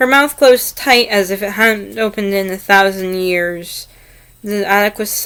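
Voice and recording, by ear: Pitch varies normally as a person reads aloud in a natural voice.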